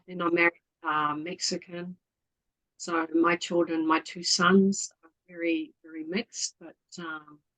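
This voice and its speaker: A woman with a New Zealand accent speaks fairly slowly at a fairly low pitch, in a monotone, flat intonation. Her loudness swings widely, and the sound is dry and close with no echo. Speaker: community volunteer. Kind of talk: casual interview chat.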